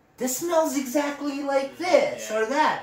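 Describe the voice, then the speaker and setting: A man speaks over noticeable background noise. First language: not English. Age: 20s. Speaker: podcast host, fragrance hobbyist. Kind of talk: casual chat.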